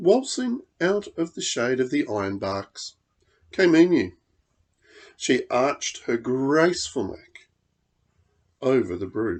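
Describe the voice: A man's medium-pitched, slightly mellow voice, slow and marked by big pitch swings and long, frequent pauses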